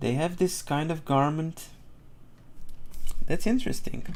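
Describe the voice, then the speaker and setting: A man is talking here. The way his voice rises and falls is lively. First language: not English. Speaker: art streamer. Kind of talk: live drawing tutorial stream. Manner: casual, thinking aloud with hesitations.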